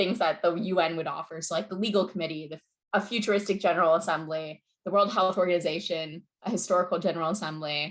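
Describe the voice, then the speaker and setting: At a fairly quick pace, a woman speaks at medium pitch with ordinary pitch variation. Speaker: model UN program director and presenter. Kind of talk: online info session presentation. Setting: video call. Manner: fast.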